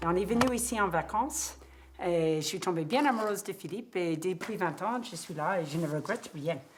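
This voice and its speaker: Using lively intonation, a woman with an American accent talks at a moderate pace and a medium pitch. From US, Cape Cod. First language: English (speaking French). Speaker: horse riding instructor. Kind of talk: documentary interview.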